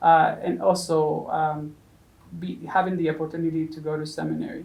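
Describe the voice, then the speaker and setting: A woman with a Spanish accent at a moderate pace, audible room echo around her. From Mexico. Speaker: seminarian. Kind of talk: interview. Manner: halting, many fillers.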